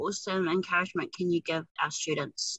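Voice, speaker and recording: A woman with a New Zealand accent, enthusiastic in tone, at a moderate pace. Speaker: podcast host. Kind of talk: interview. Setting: in a car.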